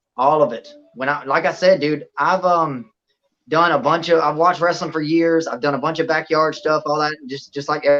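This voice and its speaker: A man speaks with a Southern US accent. His pitch is fairly high and his pace is moderate. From Louisiana. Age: 30s. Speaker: professional wrestler. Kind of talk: podcast interview. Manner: animated.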